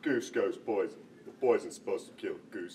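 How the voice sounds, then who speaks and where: A man uses a put-on character voice at an extremely high pitch and a moderate pace. Clear background noise runs underneath. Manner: dim-witted, goofy.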